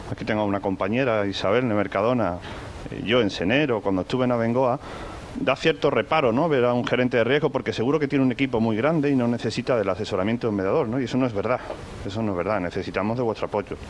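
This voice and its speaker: Speaking at a very fast pace with a slight Andalusian accent, a man uses a medium pitch and ordinary pitch variation over noticeable background noise. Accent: slight Andalusian (Seville). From Seville, Spain. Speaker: corporate risk manager, panel speaker. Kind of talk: conference talk. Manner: hesitant, with many repetitions and fillers.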